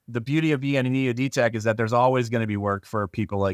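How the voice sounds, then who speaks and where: A man's voice comes through dry and close with no echo, on a very clean recording with a silent background. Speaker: EOD technician. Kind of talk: casual chat.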